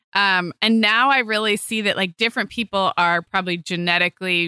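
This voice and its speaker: A woman with an ordinary speaking voice talks at a medium pitch and moderate pace, her pitch varying in an ordinary way. The recording is very clean with a silent background, and the sound is dry and close with no echo. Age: 40s. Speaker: podcast co-host, mother. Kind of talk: sponsor read; casual chat.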